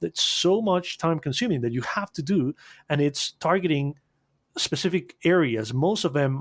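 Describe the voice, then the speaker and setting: Speaking with a Spanish accent at a moderate pace, a man's lively intonation comes through a dry, close sound with no echo on a very clean recording with a silent background. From Costa Rica. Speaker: animation agency owner. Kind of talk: podcast interview. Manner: halting, repeats words.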